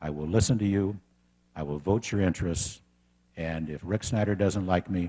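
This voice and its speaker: With an American accent, a man speaks at a moderate pace in a very deep, low voice with a dark, mellow tone. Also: ordinary pitch variation. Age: 60s. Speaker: political candidate. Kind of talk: campaign speech.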